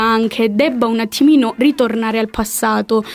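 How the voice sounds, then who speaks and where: A woman talks in an unremarkable speaking voice at a fairly high pitch. She keeps a moderate pace and fairly even intonation. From Calabria. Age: 20s. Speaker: political science student. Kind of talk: casual chat.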